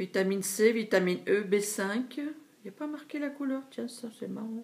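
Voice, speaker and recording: This woman's voice sits at a fairly high pitch, with ordinary pitch variation. She talks at a fairly slow pace. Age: 60s. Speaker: beauty vlogger. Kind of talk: product haul review. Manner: hesitant with fillers.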